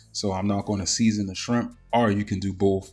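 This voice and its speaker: Over music in the background, a man with a fairly low pitch speaks at a moderate pace in an American accent with flat, monotone intonation. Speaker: cooking YouTuber. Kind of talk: cooking tutorial. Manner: casual, filler-heavy.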